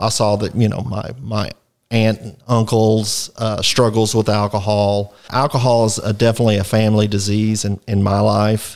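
A man with a Texan accent and a fairly low pitch speaks at a moderate pace in a monotone, flat manner, captured in a very clean recording with a silent background. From Texas, Fort Worth area. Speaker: recovering alcoholic sharing his story. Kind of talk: personal testimony in interview. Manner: hesitant, frequent filler words.

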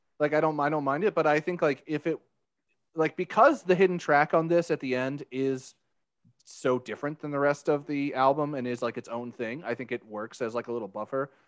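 A man with an unremarkable speaking voice at a fairly high pitch with ordinary pitch variation, dry and close with no echo, over a quiet background. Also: fairly quick pace. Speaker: podcast host. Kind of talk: casual banter podcast chat.

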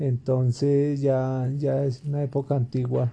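In a somewhat breathy, dark and mellow voice, a man speaks at a very slow pace. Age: 50s. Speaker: interviewee, father. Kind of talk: casual interview. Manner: halting.

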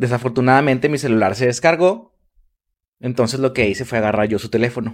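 A man with a Mexican accent rattles along at a very fast pace, his medium pitch showing ordinary pitch variation. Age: 20s. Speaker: podcast host. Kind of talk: casual chat.

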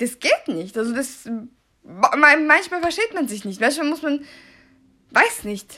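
A woman projects a raised, high-pitched voice with a bright, sharp tone and very wide pitch swings. She goes at a very slow pace, with big swings in loudness and long, frequent pauses. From Austria, Salzburg, Serbian family. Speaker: podcaster. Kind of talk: casual monologue, German-Serbian code-switching. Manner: unscripted, halting.

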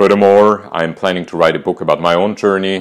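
A man with an Austrian accent. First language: German. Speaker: podcaster and cancer survivor. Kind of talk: personal storytelling monologue.

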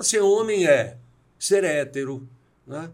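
A man speaks at a very slow pace. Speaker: executive coach and speaker. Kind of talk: interview.

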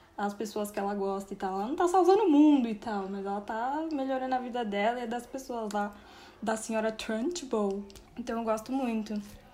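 A woman speaks in a fairly high pitch at a moderate pace with ordinary pitch variation. Noticeable background noise is present. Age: 20s. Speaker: writer. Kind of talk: casual chat.

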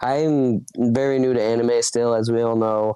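The voice has a dark, mellow tone and monotone, flat intonation, with an American accent. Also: man. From Minnesota, US Midwest. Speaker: podcast host. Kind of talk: casual solo chat. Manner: casual, conversational with fillers.

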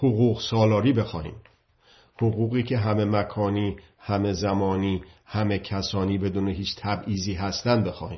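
Somewhat breathy, the voice moves at a fairly slow pace with fairly even intonation. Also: man, fairly low pitch for a man. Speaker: political commentator. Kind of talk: monologue talk.

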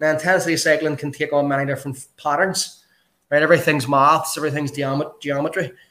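This man speaks in a Northern Irish accent. His pitch is fairly high. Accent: Northern Irish (Belfast). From Belfast, Northern Ireland. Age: 40s. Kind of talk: casual interview chat.

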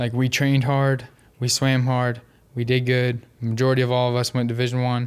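At a fairly quick pace, a man speaks at medium pitch in a monotone, flat intonation. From Northern Kentucky. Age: 20s. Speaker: former college swimmer. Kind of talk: casual chat.

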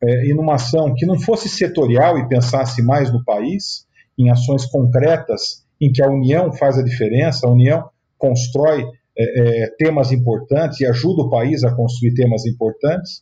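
Pitch varies in an ordinary way at a moderate pace. The tone is dark and mellow, somewhat breathy. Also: man. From Sorocaba, interior of São Paulo state, Brazil. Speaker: state housing official and real estate businessman. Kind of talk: interview.

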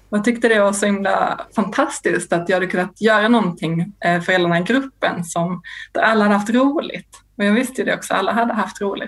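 With hardly any pauses, a woman talks at a fairly quick pace and a medium pitch, her pitch varying in an ordinary way against noticeable background noise. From Sweden, Lund. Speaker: craft consultant. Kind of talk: casual chat.

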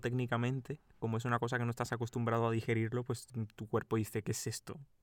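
The pace is very fast. A man speaks in a monotone, flat way at a medium pitch. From Cuba. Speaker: podcast co-host. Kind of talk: casual chat.

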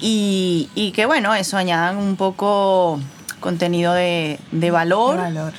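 Over noticeable background noise, a woman speaks at a medium pitch and a very slow pace, with very even loudness and ordinary pitch variation. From Venezuela. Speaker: podcast co-host. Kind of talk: casual chat.

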